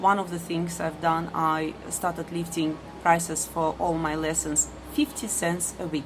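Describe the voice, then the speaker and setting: Noticeable background noise sits behind a woman with a strong non-native accent. She speaks at a fairly slow pace with fairly low pitch. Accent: strong foreign. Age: middle-aged. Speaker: ESL teacher. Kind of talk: personal vlog monologue. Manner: hesitant with many fillers.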